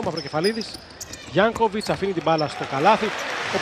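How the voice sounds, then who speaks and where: A man speaks at a high pitch with ordinary pitch variation. Noticeable background noise is present. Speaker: basketball commentator. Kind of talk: live sports commentary on basketball highlights.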